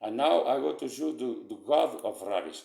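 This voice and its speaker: A man speaks at a moderate pace. He talks in a Portuguese accent. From Portugal. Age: 60s. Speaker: vlogger. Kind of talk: casual talk presenting pictures. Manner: halting.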